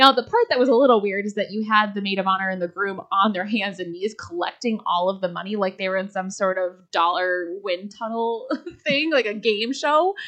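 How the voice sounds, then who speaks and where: This woman has an ordinary speaking voice at a medium pitch, with ordinary pitch variation. She talks at a fairly quick pace with hardly any pauses. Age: 30s. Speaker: wedding industry professional. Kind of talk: casual chat. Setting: studio.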